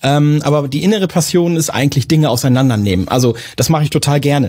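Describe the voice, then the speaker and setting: Talking at a very fast pace, a man sounds somewhat breathy, with ordinary pitch variation. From northern Germany, Lower Saxony. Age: 40s. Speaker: IT manager in a trades company. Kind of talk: casual interview.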